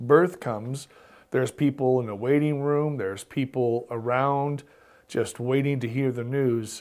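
Against a quiet background, the speech moves at a fairly slow pace with fairly even intonation. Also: man. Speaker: pastor teaching Bible study. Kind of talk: Bible study teaching. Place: studio. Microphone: lapel.

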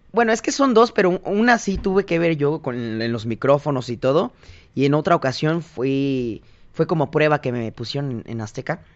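This man's fairly high voice swings very widely in pitch as he talks at a moderate speed. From Mexico, Tonalá, Jalisco. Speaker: singer. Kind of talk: interview conversation.

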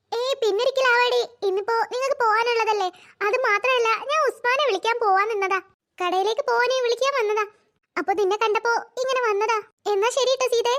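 A woman's cartoonish character voice, extremely high-pitched, with very even loudness, fairly even intonation, and a moderate pace. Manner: chatty, warm.

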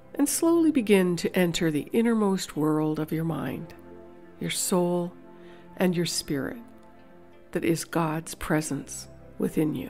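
A woman's fairly low voice at a fairly slow pace, broken by long, frequent pauses, with music in the background. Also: ordinary pitch variation. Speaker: meditation guide. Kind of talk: guided meditation. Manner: slow, soft-spoken.

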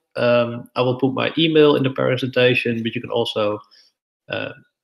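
A man with a Dutch accent against a quiet background. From Netherlands. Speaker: debate coach; debate workshop trainer. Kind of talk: lecture. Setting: live stream. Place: home room. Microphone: webcam.

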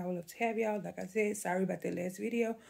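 A woman with a dark, mellow tone speaks at a very fast pace. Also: quiet background. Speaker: home vlogger. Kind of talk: casual vlog chat. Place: home room. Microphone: phone near.

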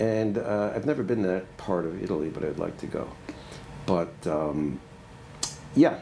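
The speaker uses lively intonation at a fairly slow pace over light background noise. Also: man, very deep, low pitch for a man. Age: 70s. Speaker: retired retail merchant and professor; professor. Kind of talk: oral history interview. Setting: on campus.

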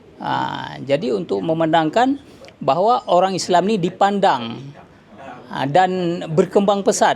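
Pitched high and talking at a fairly slow pace, a man uses lively intonation while noticeable background noise carries on. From Aceh, Indonesia. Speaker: businessman. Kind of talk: speech at signing ceremony. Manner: halting, many fillers.

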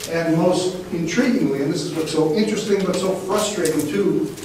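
A man talks at a fairly quick pace with ordinary pitch variation. There is noticeable background noise and strong room echo. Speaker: professor and marine geophysicist. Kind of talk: lecture. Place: classroom. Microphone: camera far.

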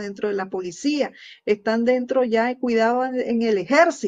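Moving at a very slow pace, a woman speaks with a fairly high pitch. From Nicaragua. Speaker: news show host. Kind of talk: opinion commentary. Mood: earnest, critical. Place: home room. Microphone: webcam.

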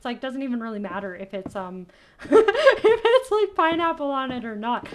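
A woman speaks in a high voice at a moderate pace, her pitch swinging very widely. Light background noise sits behind her. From Canada. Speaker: gaming youtuber; gaming streamer. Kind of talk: let's play commentary. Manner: animated. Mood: playful, amused. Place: home room.

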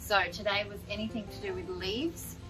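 The voice belongs to a woman. Music can be heard clearly behind her. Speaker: gardening vlogger. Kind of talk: casual vlog chat. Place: garden.

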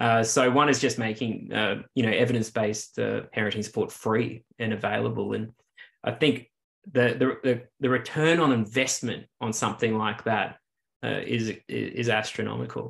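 A man with an Australian accent, vocal fry, fairly even intonation and a moderate pace. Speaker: clinical psychologist, researcher; interviewee. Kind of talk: interview. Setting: video call. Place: home room. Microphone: video call.

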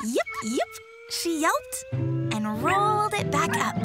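What we hear is plain reading aloud.

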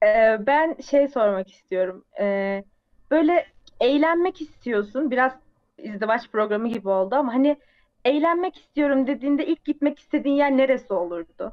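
Lively intonation comes through over a quiet background. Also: woman, high pitch for a woman, moderate pace. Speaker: stream host. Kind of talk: casual storytelling. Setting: video call. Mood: playful, amused. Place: home room.

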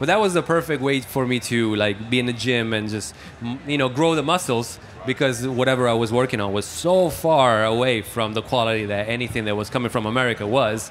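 Over light background noise, a man with an Italian accent talks at a fairly quick pace, his medium pitch moving with ordinary variation. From Italy. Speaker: mixing engineer. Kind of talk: casual interview. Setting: music trade show. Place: hall. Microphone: handheld.

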